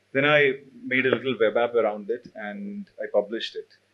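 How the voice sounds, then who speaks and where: A man with a Keralan accent at a moderate pace. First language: Malayalam. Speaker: CTO and open source developer. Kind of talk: panel talk.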